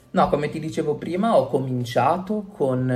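A man's somewhat breathy voice at a fairly quick pace, with audible room echo. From Italy, Genoa (Liguria). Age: 20s. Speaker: illustrator and cartoonist. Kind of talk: interview.

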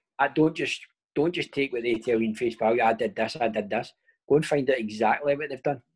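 Speaking at a very fast pace in a Glaswegian accent, a man keeps a medium pitch with ordinary pitch variation. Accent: Glaswegian Scottish. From Scotland, Paisley/Glasgow area. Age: 30s. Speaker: professional footballer. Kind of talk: casual chat.

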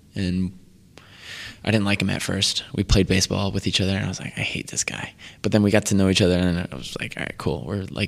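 In a very clean recording with a silent background, a man with an American accent speaks at a very deep, low pitch, with vocal fry and fairly even intonation. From Connecticut, Waterbury. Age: 20s. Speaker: vegan chef. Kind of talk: casual chat.

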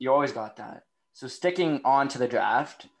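At a moderate pace, a man with a Canadian accent talks in a normal speaking voice. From Canada. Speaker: podcast host. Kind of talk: casual interview. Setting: video call.

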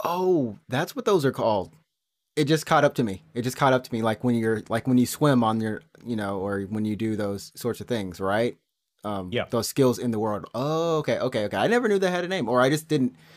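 Delivery is fairly quick with lively intonation. The recording is very clean, with a silent background. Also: man, medium pitch for a man. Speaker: gaming podcast host. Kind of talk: casual chat. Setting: live stream. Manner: fast.

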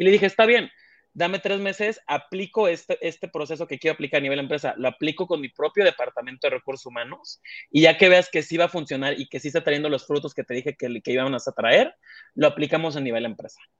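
Talking at a very fast pace with lively intonation, a man with a Mexican accent is heard in a dry, close sound with no echo against a quiet background. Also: fairly high pitch for a man. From Mexico, small coastal town. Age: 20s. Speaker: human resources director. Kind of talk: interview conversation.

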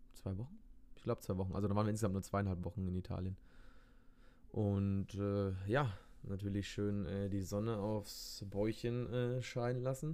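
A man speaks with a dark, mellow tone. His pitch is fairly low and his intonation fairly even. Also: moderate pace. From Bavaria, Germany. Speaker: podcast co-host. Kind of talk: casual chat.

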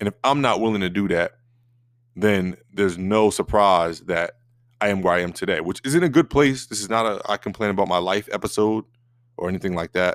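A man's fairly low, ordinary speaking voice with ordinary pitch variation, in a very clean recording with a silent background and a dry, close sound with no echo. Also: fairly quick pace. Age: 30s. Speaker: podcast host. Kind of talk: solo motivational monologue. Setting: recording alone. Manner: casual with frequent fillers.

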